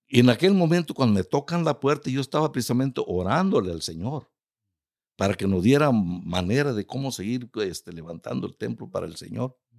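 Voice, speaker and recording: A man's medium-pitched voice with very wide pitch swings at a fairly quick pace, dry and close with no echo, in a very clean recording with a silent background. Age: 70s. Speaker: retired pastor. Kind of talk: interview, ministry testimony.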